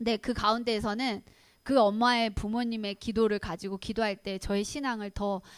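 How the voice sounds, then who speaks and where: A woman's fairly high voice, a normal speaking voice, moves at a fairly quick pace on a very clean recording with a silent background. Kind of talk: lecture.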